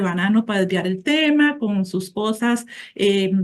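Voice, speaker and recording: A somewhat breathy woman with ordinary pitch variation at a fairly slow pace. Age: 60s. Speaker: support group member. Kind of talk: testimony.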